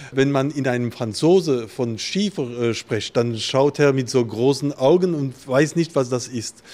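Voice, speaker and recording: A very slow man's voice, medium in pitch and ordinary in pitch variation. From Alsace, France. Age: 50s. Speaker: winemaker. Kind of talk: interview. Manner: halting.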